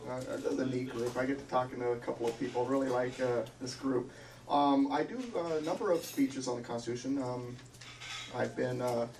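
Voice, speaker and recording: Noticeable background noise and audible room echo surround the recording. A man speaks at a fairly quick pace and medium pitch with fairly even intonation. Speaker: constitutional speaker. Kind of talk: lecture. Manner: loud.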